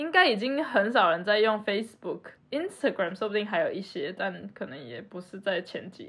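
Her voice at medium pitch, a woman speaks at a moderate pace with very wide pitch swings and big swings in loudness. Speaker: podcast co-host. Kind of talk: casual chat.

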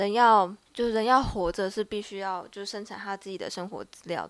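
Woman with an ordinary speaking voice, medium-pitched, fairly even in intonation, at a fairly quick pace. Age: 20s. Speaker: student podcast co-host. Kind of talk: casual discussion.

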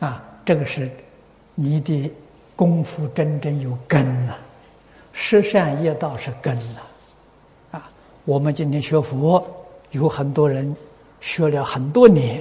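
At a very slow pace with long, frequent pauses, a man speaks at a fairly high pitch with ordinary pitch variation. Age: old. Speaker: Buddhist teacher answering questions. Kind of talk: dharma talk answering questions.

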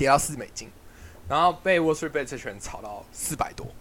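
Lively in intonation, a man with a fairly high pitch talks with vocal fry. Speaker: podcast host, student investor. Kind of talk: casual chat.

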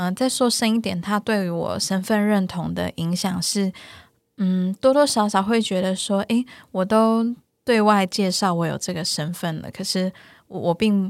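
A woman with an unremarkable speaking voice talks at a fairly slow pace in a medium pitch with fairly even intonation, the sound dry and close with no echo on a very clean recording with a silent background. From Taiwan, Taichung. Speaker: psychologist. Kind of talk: interview.

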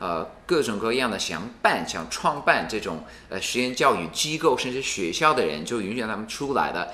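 A medium-pitched man at a moderate pace with very wide pitch swings and hardly any pauses, amid audible room echo and noticeable background noise. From United States. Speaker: university regional president, education expert. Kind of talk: interview conversation. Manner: hesitant, many fillers.

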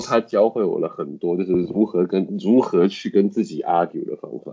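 Here a man speaks at a fairly quick pace. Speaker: English teacher. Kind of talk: casual interview chat.

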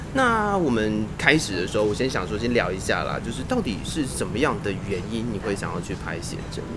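Amid noticeable background noise and audible room echo, a man speaks at a fairly quick pace in an animated tone with hardly any pauses. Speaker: podcast host and radio presenter. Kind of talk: casual chat interview. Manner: animated, frequent laughter.

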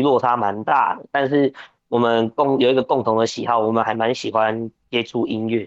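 An ordinary speaking voice from a man, medium in pitch, with fairly even intonation and a moderate pace. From Taiwan, New Taipei. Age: 20s. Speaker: professional wrestler. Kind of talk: interview.

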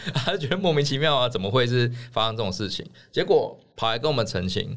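A man's intonation is lively as he races along at a very fast pace. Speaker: political candidate. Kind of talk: casual chat.

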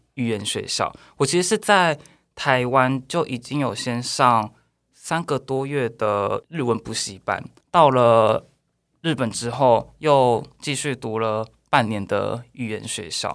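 The speaker talks at a very slow pace with ordinary pitch variation in a very clean recording with a silent background. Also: man, medium pitch for a man. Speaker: expat worker in Japan. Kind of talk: casual chat.

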